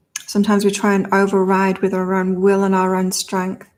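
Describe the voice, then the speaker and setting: In a very clean recording with a silent background, a woman speaks at a moderate pace with medium pitch. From northern England, Blackpool. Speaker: tarot reader and psychic. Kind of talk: live stream tarot reading. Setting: live stream. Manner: conversational.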